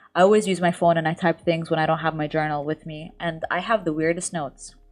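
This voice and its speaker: With music in the background, a woman speaks very fast at a fairly low pitch, her intonation fairly even. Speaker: lifestyle YouTuber. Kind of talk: podcast interview.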